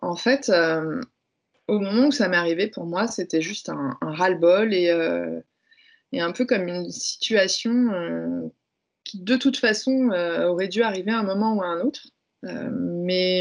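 Here is a woman in a medium pitch with ordinary pitch variation. She has an ordinary speaking voice. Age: 30s. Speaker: speaker and workplace wellbeing consultant. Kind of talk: testimony.

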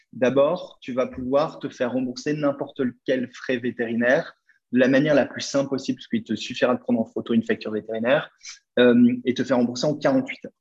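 This man talks at a fairly quick pace, medium in pitch, with fairly even intonation. He has a plain, everyday voice. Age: 30s. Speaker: startup founder. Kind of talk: interview.

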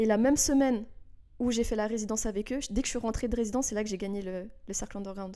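Speaking very fast, the woman has a fairly high pitch, a dark, mellow tone, and fairly even intonation. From Switzerland, Geneva. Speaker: dancer. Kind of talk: interview.

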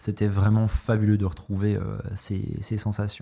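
A man's dark, mellow voice at a fairly low pitch and moderate pace, in a very clean recording with a silent background. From France. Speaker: cycling podcaster. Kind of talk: solo monologue podcast.

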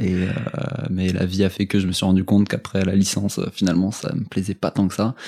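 A man's fairly low, fairly quick voice over noticeable background noise. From France, Strasbourg. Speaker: fitness coach. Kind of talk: casual interview.

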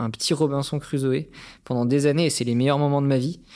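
The recording is very clean, with a silent background. A man talks at a medium pitch with fairly even intonation. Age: 30s. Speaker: social entrepreneur, former merchant navy officer. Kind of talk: personal storytelling interview. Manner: hesitant with frequent repetitions.

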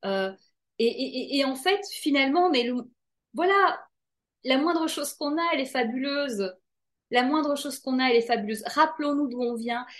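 A woman with a high pitch speaks at a moderate pace, her intonation lively. She leaves long, frequent pauses. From Belgium. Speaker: author. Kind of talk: interview.

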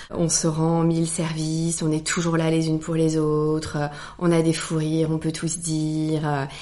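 With audible room echo and noticeable background noise, a woman speaks at a fairly slow pace in a very deep, low pitch, her intonation monotone and flat. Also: very even loudness. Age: 40s. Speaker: hotelier. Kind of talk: casual chat.

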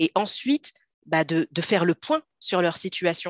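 Delivered at a fairly slow pace, a plain, everyday voice has a dry, close sound with no echo. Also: woman. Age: 30s. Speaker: personal finance coach. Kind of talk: casual interview.

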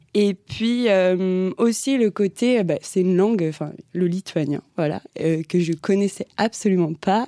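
A woman's dark, mellow, medium-pitched voice comes through dry and close with no echo, on a very clean recording with a silent background. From France, Vendée. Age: 20s. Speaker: law student. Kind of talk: interview. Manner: hesitant, many fillers.

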